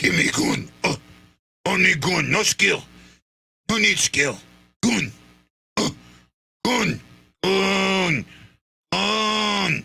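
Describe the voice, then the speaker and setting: Using a raspy put-on character voice at a fairly low pitch, a man speaks very slowly with long, frequent pauses. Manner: gruff, grunting.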